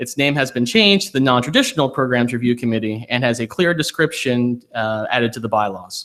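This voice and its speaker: A man is speaking. His pace is very fast. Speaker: faculty committee chair. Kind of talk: committee report.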